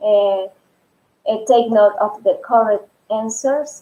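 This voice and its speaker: A woman's dark, mellow voice in a Spanish accent, at a fairly slow pace. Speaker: Spanish teacher. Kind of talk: live stream tutorial. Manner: halting.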